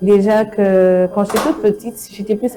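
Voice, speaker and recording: A woman talks at a moderate pace with medium pitch, and noticeable background noise can be heard. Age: 20s. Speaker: truck driver and motorcyclist. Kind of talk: TV interview. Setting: TV studio.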